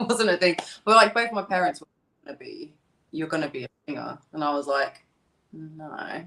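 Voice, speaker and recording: With a strong British accent, a woman speaks at a moderate pace in a bright, sharp tone at a fairly low pitch, with long, frequent pauses and big swings in loudness. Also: lively intonation. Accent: thick British. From East London. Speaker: singer. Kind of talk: interview.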